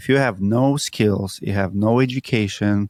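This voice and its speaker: Fairly even intonation comes through in a dry, close sound with no echo, on a very clean recording with a silent background. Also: man. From Siberia, Russia. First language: Russian. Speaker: roofing entrepreneur. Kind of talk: interview.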